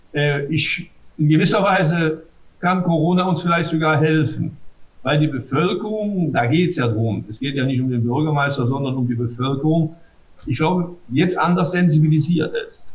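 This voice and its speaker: This man talks at a fairly slow pace. His pitch is fairly high and varies in an ordinary way. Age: 60s. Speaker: mayor. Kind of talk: interview. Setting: video call. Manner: hesitant, many filler sounds.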